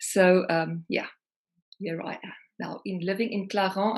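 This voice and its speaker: A woman's medium-pitched voice with a South African accent, fairly even intonation and a moderate pace. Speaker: singer-songwriter. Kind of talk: interview.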